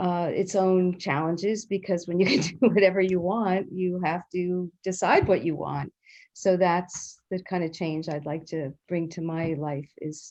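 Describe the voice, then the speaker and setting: A woman speaks at a fairly low pitch and a fairly slow pace. Her intonation stays fairly even. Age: 60s. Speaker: participant. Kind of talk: group discussion. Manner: hesitant, many fillers.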